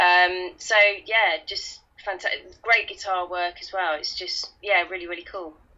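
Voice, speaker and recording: A woman speaks with a Kent accent. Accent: Kentish London. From Kent / London, England. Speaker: guest co-host. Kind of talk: casual chat.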